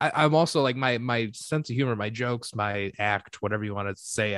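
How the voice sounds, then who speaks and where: Here a man speaks with a Michigan accent at a medium pitch and a fairly quick pace. His pitch variation is ordinary, and the recording is very clean with a silent background. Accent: US Midwest (Michigan). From Michigan (Detroit). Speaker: comedian and podcaster. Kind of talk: casual chat.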